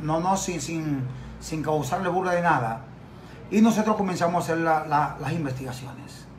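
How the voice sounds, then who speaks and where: Over light background noise, a man with a high pitch speaks at a moderate pace. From Dominican Republic. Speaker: journalist and lawyer; journalist, lawyer. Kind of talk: TV interview. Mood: defensive, indignant rebuttal. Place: office. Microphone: phone near.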